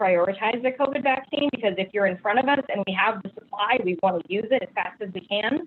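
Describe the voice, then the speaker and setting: A woman speaks in a normal speaking voice with an American accent, at a medium pitch and moderate pace. Her pitch varies an ordinary amount. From Ohio (North Canton). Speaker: clinical pharmacist. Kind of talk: question and answer; presentation.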